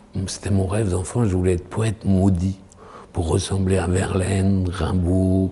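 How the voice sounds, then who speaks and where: A man with a very deep, low pitch talks in a monotone, flat intonation over noticeable background noise. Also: fairly slow pace. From French provinces. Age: 60s. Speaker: actor and poet. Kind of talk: interview. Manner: halting.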